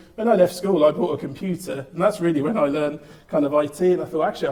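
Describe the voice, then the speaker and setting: A man speaks at a very fast pace against noticeable background noise. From England, Birmingham. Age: 30s. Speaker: entrepreneur. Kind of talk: talk to audience.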